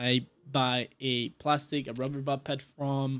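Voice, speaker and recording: A fairly high-pitched male voice is captured on a very clean recording with a silent background. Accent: strong non-native. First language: not English. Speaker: gaming video creator. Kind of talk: gameplay tutorial. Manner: halting, many filler sounds.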